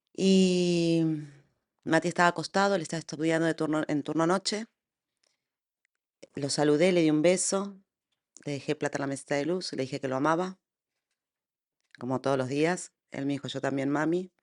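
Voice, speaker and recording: With long, frequent pauses, a woman speaks at a very deep, low pitch and fairly even intonation, the sound dry and close with no echo. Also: moderate pace, quiet background. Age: 50s. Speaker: bereaved mother. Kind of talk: testimony.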